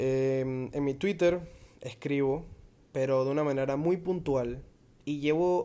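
A man speaks with a fairly high pitch and a dark, mellow tone. His intonation stays fairly even. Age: 20s. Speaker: podcast host. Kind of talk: improvised solo monologue. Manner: halting.

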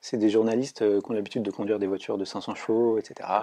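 A man at medium pitch with a dark, mellow tone, a very fast pace and a quiet background. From Brittany, France. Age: 20s. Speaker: engineering student. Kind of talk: interview. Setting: studio. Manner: halting with repetitions.

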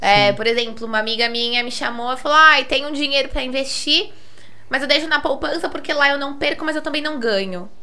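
A woman with a high pitch uses a raised, projected voice at a fairly quick pace with ordinary pitch variation. Noticeable background noise and audible room echo are present. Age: 20s. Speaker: financial investment advisor. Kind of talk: casual chat.

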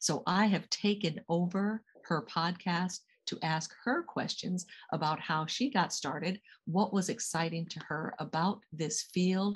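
A woman with an American accent speaks at a fairly slow pace and fairly low pitch. She sounds somewhat breathy against a quiet background. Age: 60s. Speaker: executive coach and guest interviewer. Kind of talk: interview.

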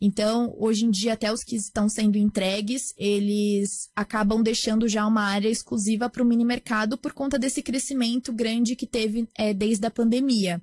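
A woman with a fairly high, somewhat breathy voice speaks at a moderate pace in a flat monotone, hardly pausing. The recording is very clean, with a silent background and a dry, close sound with no echo. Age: 20s. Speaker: startup founder. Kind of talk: interview.

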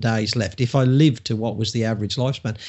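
This is a man speaking with an English accent. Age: 50s. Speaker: public speaker and coach. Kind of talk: casual interview chat.

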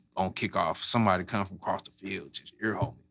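A man's fairly low voice comes through a very clean recording with a silent background. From St. Louis, Missouri (Florissant). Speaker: fitness trainer and gym owner. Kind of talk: casual interview, personal story.

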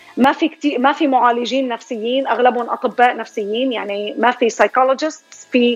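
Music plays behind a woman with a high-pitched voice. She speaks at a moderate pace with ordinary pitch variation. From Syria. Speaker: psychology professor and writer. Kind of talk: radio interview.

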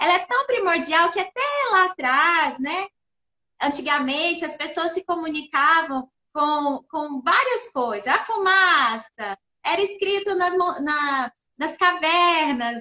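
At a very slow pace, a woman speaks with an extremely high pitch and lively intonation. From Brazil, interior of Minas Gerais (Perdizes). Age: 40s. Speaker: communications professional and social project organizer. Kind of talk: casual chat.

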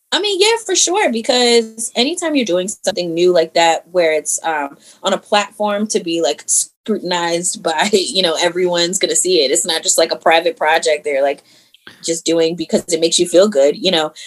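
With an American accent and a normal speaking voice, a woman talks at a moderate pace with a fairly low pitch and ordinary pitch variation. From Maryland (Howard County). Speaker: actress and martial artist. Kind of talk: casual chat.

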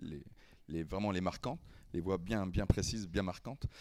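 Here a man is heard on a very clean recording with a silent background. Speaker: impressionist and singer. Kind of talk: casual chat.

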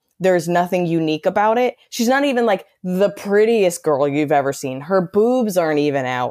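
With very wide pitch swings, a woman speaks at medium pitch and a moderate pace. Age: 30s. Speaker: stand-up comedian and podcast host. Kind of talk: casual chat.

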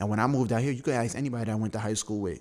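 In a New York accent, a man speaks at a medium pitch on a very clean recording with a silent background. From Brooklyn, New York. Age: 20s. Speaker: designer. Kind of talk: casual chat.

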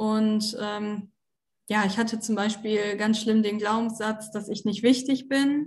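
A somewhat breathy woman's voice, fairly high-pitched, with fairly even intonation and a very slow pace, over a quiet background. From Germany, Osnabrück (Lower Saxony). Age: 20s. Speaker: former coaching client. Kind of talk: interview testimony. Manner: hesitant, many fillers.

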